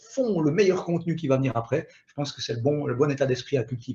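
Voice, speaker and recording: A man with a Swiss accent talks at a fairly quick pace in an animated tone. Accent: Swiss French, noticeable. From Switzerland. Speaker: digital marketing expert. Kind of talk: webinar presentation. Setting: online webinar.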